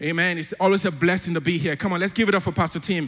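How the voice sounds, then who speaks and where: Animated in tone, a man speaks very fast at a high pitch with ordinary pitch variation. Crowd noise fills the background. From Africa. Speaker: church elder preaching. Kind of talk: sermon. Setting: church.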